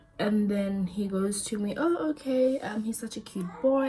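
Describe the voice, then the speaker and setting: A woman uses ordinary pitch variation as she talks over noticeable background noise. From South Africa. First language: not English (a South African language). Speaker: lifestyle vlogger. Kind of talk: storytime monologue. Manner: casual, repetitive.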